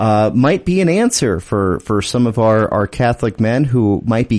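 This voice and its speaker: A man with a plain, everyday voice talks at medium pitch and a moderate pace. His intonation is lively. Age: 30s. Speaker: radio host. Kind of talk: radio interview. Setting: studio.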